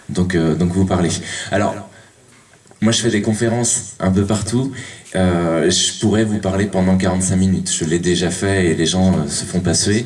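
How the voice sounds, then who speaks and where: Over noticeable background noise and audible room echo, a man with a very deep, low voice talks at a moderate pace with fairly even intonation. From western France (Cholet). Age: 30s. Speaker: lecturer, Spanish teacher. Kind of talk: public talk. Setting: conference hall with audience. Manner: halting, many fillers.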